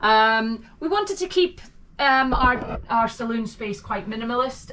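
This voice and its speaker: A woman with a Scottish accent and ordinary pitch variation. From Scotland. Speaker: vlogger. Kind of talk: home tour. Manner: hesitant, many fillers.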